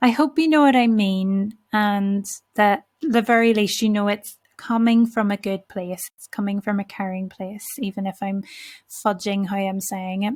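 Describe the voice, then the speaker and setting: A woman with a somewhat breathy voice speaks at medium pitch with ordinary pitch variation. Her loudness swings widely in a very clean recording with a silent background. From Northern Ireland (Belfast). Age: 30s. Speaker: podcast host. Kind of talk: solo reflective podcast monologue. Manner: slow, carefully enunciated.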